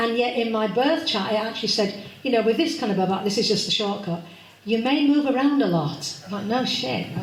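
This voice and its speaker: Talking at a fairly quick pace, a woman uses a fairly high pitch and lively intonation amid audible room echo and noticeable background noise. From Yorkshire, Leeds (later Devon). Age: 60s. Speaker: astrology speaker, funeral celebrant. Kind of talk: public talk.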